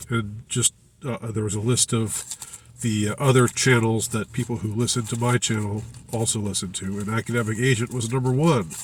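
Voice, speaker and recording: Over noticeable background noise, a man talks at a fairly quick pace, his medium pitch held in fairly even intonation. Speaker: political commentary YouTuber. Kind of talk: casual monologue commentary. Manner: halting, many fillers and repetitions.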